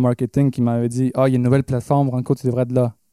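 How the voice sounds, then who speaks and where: Speaking very fast in a Quebec accent, a man with a medium pitch is heard in a very clean recording with a silent background and a dry, close sound with no echo. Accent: Québécois French. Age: 20s. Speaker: pop/rock musician. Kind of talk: casual interview. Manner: halting.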